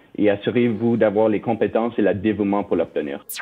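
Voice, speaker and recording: A man in an English accent talks at a medium pitch. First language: English (speaking French). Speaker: company finance executive. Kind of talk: interview. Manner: halting, many fillers.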